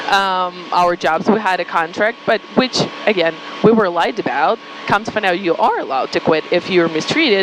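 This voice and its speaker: Against noticeable background noise, a woman with a Ukrainian accent speaks with ordinary pitch variation. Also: medium pitch for a woman, moderate pace. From Ukraine. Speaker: marketing agency founder. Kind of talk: podcast interview, personal story.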